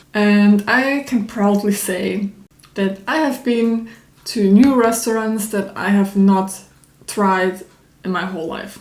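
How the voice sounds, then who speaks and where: At a very slow pace, a woman with a non-native accent speaks at a medium pitch with fairly even intonation. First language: not English. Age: 20s. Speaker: YouTuber. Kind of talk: personal vlog monologue. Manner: hesitant, many fillers; spontaneous, unscripted.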